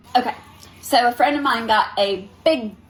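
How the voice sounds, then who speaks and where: A woman talks at a moderate pace in an animated tone, her pitch varying by an ordinary amount. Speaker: spiritual reader, livestreamer. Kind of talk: casual livestream talk.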